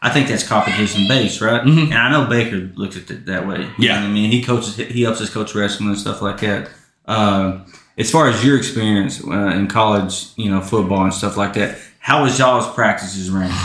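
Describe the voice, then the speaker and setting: Here is a normal speaking voice with an American accent. It keeps a fairly quick pace with ordinary pitch variation. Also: man, fairly low pitch for a man. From Southeast Oklahoma. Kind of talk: casual podcast interview.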